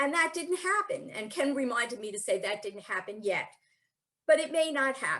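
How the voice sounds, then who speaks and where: At a moderate pace, a woman speaks in a high pitch with very wide pitch swings and a bright, sharp tone. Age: 60s. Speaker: spiritual speaker. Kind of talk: talk. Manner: conversational.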